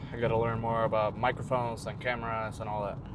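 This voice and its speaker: A man mumbles at a very fast pace and medium pitch. Audible room echo surrounds him. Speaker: fitness vlogger. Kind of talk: casual vlog talk. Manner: mumbling.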